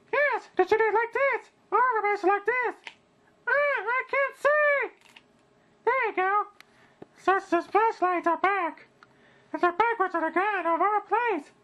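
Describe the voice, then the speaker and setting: A cartoonish character voice at an extremely high pitch moves at a fairly slow pace, broken by long, frequent pauses. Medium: puppet.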